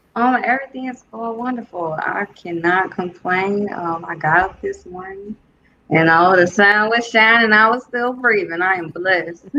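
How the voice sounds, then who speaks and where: A woman talks with a slight Southern US accent. Her pitch varies in an ordinary way. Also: medium pitch for a woman, moderate pace. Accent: slight Southern US twang. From Detroit, Michigan, US. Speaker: musician. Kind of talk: interview.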